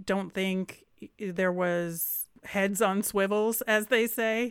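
A woman with an unremarkable speaking voice talks at a medium pitch with fairly even intonation, on a very clean recording with a silent background. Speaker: sports podcast co-host. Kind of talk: casual sports analysis chat.

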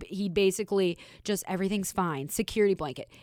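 A woman with an American accent and an unremarkable speaking voice talks at a fairly quick pace in a medium pitch with ordinary variation, on a very clean recording with a silent background and a dry, close sound with no echo. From Minnesota, US. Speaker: hockey analyst, former goaltender. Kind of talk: casual chat.

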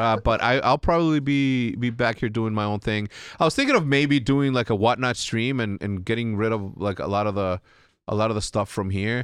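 Against a quiet background, a man with a non-native accent speaks at a medium pitch and a fairly quick pace, with ordinary pitch variation. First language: not English. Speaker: podcast host. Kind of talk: casual chat. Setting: studio. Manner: animated.

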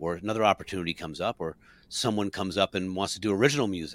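A man with an American accent at a very fast pace and fairly low pitch, on a very clean recording with a silent background. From New Jersey. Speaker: musician and podcast co-host. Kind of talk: casual chat, live broadcast.

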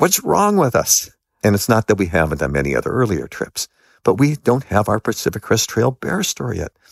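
A man with an American accent, medium in pitch, with vocal fry, very wide pitch swings and a fairly quick pace. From Los Angeles, US. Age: 60s. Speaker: author and long-distance hiker. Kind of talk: interview storytelling. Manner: animated.

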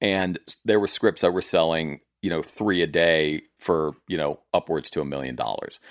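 Very deep, low male voice with vocal fry and an American accent, at a moderate pace, in a very clean recording with a silent background and a dry, close sound with no echo. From US South, southern Maryland. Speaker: TV writer and producer. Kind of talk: casual chat.

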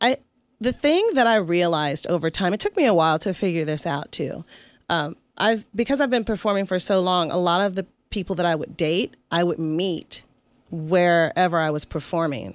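A woman with an American accent at a moderate pace and fairly low pitch, with ordinary pitch variation, in a very clean recording with a silent background. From US South, Atlanta, Georgia. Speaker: burlesque performer. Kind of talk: interview. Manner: halting, with frequent fillers and restarts.

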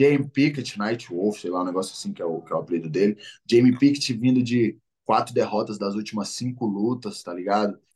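A man's voice sits at a medium pitch with ordinary variation. He moves along at a fairly quick pace. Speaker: MMA fighter. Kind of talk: casual interview.

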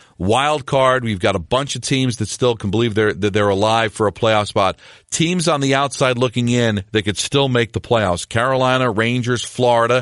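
A man with a normal speaking voice, medium pitch, ordinary pitch variation and very even loudness, at a moderate pace with hardly any pauses, in a dry, close sound with no echo and a quiet background. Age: 50s. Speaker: hockey podcast host and sports radio host. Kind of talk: solo sports recap podcast.

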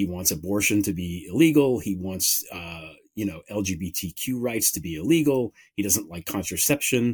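Over a very clean recording with a silent background, a man with an American accent talks at a moderate pace with hardly any pauses. He has a plain, everyday voice, fairly low in pitch, with lively intonation. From United States. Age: 50s. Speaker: author and political podcaster. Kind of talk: interview on political talk show.

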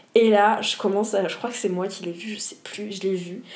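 A woman's medium-pitched voice with fairly even intonation and audible room echo. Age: 20s. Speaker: environmental education worker, former whale volunteer. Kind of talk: casual interview.

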